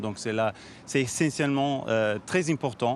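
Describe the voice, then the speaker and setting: This man speaks with a slight Italian accent at a moderate pace. His pitch is medium, with ordinary variation. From Switzerland, Italian background. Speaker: NGO founder and CEO. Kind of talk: TV interview. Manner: halting, many fillers and restarts.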